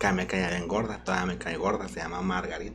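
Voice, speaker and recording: Audible room echo surrounds the voice. A man with a very deep, low pitch speaks at a moderate pace. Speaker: drag queen. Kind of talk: casual chat.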